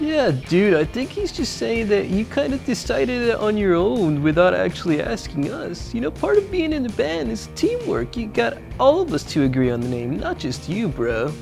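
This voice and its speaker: The speaker uses a cartoonish character voice. Music plays clearly in the background. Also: moderate pace. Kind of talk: surfer-dude slang. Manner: mellow, easygoing.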